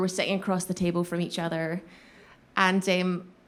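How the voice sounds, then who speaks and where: A woman of medium pitch talks in a Scottish accent. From Glasgow, Scotland. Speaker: voice actor. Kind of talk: live storytelling performance. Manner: comedic, animated.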